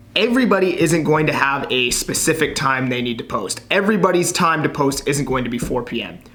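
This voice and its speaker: Lively intonation carries at a moderate pace through audible room echo and noticeable background noise. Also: man. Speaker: realtor and social media content creator. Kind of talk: tutorial. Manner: casual, conversational.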